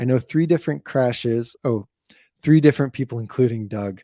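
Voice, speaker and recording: Quiet and dark, mellow in tone, a man speaks at medium pitch and a moderate pace with ordinary pitch variation, in a very clean, dry, close recording with no echo and a silent background. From New Mexico. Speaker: BMX YouTuber. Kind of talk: live stream chat. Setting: live stream. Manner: moderately quiet.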